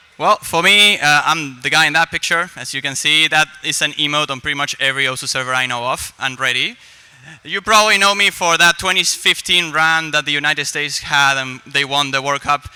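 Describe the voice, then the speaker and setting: A man at a fairly high pitch and fairly quick pace, ordinary pitch variation, with music in the background. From Argentina. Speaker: esports commentator and host. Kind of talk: live event hosting. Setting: stage with live audience.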